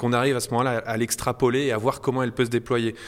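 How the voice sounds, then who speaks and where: Against a silent background in a very clean recording, a man talks at a very fast pace. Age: 40s. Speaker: podcast host. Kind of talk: interview.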